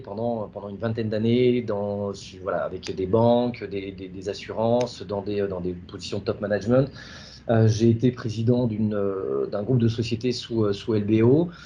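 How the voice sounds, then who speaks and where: A man speaks in a dark, mellow tone. His pace is moderate and his pitch variation ordinary. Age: 40s. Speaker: startup founder. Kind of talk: interview. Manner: halting, many fillers.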